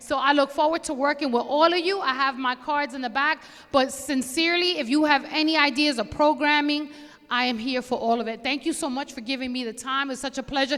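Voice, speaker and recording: In a Bronx accent, a woman with a high-pitched voice talks at a fairly quick pace in an animated tone. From New York City, the Bronx. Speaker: police commander. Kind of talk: community meeting address. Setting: community board meeting with audience. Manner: loud.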